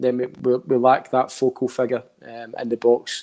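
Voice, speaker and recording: A man with a strong Scottish accent speaks at a medium pitch in a dark, mellow tone. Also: very clean recording, silent background. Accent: thick Scottish. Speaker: football pundit. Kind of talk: casual chat.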